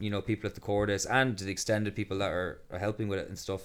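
Speaking very fast with an Irish accent, the man has a fairly low pitch. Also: very clean recording, silent background. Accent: Irish (Galway). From Ireland, County Galway. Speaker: festival co-founder and builder. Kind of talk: casual interview chat.

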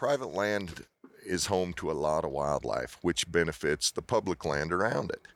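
A man's very deep, low voice in a dry, close sound with no echo. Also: ordinary pitch variation. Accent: American. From Utah. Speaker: auctioneer. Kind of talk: casual interview. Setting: at expo, recorded in person. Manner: fast talker.

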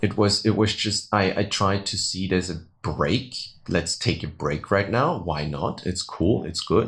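Pitch variation here is ordinary, and the delivery is somewhat breathy. The pace stays fairly slow. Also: man, fairly low pitch for a man. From Austria, Vienna. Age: 30s. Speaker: tour guide. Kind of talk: interview.

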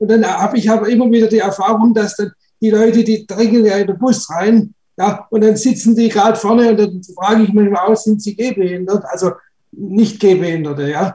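Fairly quick and fairly even in intonation, this man speaks with a high pitch. His tone is dark and mellow. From Stuttgart, Germany. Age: 30s. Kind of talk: casual group talk.

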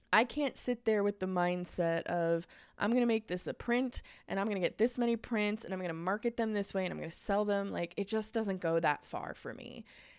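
A woman with a plain, everyday voice talks at a fairly quick pace and medium pitch with ordinary pitch variation, in a very clean recording with a silent background. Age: 20s. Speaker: podcast host and graphic designer. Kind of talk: casual solo podcast talk. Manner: chatty, filler-heavy.

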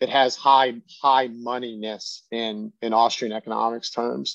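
A man with an ordinary speaking voice talks at a fairly slow pace and fairly even intonation, dry and close with no echo against a quiet background. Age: 30s. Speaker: crypto fund manager. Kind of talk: interview.

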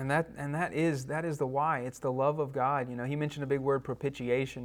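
In a very clean recording with a silent background, a man with a Southern US accent speaks at medium pitch and a fairly quick pace in a monotone, flat intonation. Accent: US South. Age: 30s. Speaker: church class teacher. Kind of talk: lecture. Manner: halting.

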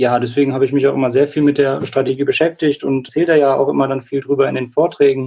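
In a fairly high pitch, a man rushes along at a very fast pace with hardly any pauses. His intonation is monotone and flat. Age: 20s. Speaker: clinical psychologist and climate activist. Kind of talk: interview.

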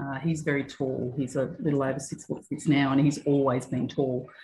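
A woman speaks with an Australian accent. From Australia, Newcastle NSW. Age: 50s. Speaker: gym member. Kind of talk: casual interview. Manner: hesitant, many fillers.

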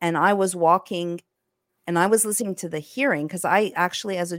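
Speaking at a medium pitch, a woman talks in a French accent. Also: dry, close sound with no echo. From Egyptian-Greek heritage, French-speaking background. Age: 40s. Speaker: investigative journalist. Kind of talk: interview. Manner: animated.

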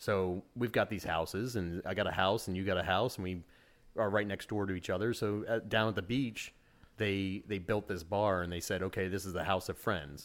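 In an unremarkable speaking voice, a man with an American accent talks at a fairly low pitch and moderate pace with fairly even intonation, on a very clean recording with a silent background. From Utica, central New York. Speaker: rum distiller. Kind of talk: casual chat with tasting.

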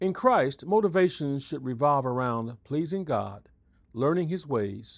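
A man's normal speaking voice, fairly high in pitch with lively intonation, at a fairly slow pace against a quiet background. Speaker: devotional speaker, pastor. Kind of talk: scripted devotional. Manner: formal.

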